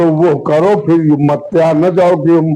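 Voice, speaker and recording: A male speaker with a fairly high pitch keeps his intonation fairly even while noticeable background noise plays around him. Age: 80s+. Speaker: village elder and former village head. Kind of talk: interview.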